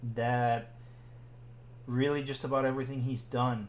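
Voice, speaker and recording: The voice moves at a fairly slow pace with monotone, flat intonation. Audible room echo is present. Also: man. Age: 40s. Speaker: podcast co-host. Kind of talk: casual chat.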